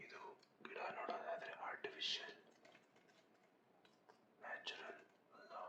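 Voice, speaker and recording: Whispering over noticeable background noise. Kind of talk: whispered ASMR vlog, casual talk to camera. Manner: whispered, soft.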